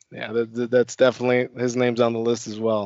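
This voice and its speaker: Speaking at a medium pitch, a man talks with a Chicago accent. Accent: faint Chicago. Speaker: network engineer. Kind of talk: casual chat. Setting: video call.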